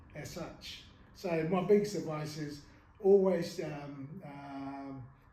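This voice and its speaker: Very slow speech with long, frequent pauses, big swings in loudness, ordinary pitch variation, and audible room echo. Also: man. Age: 70s. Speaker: martial arts master. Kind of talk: interview. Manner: halting, many fillers.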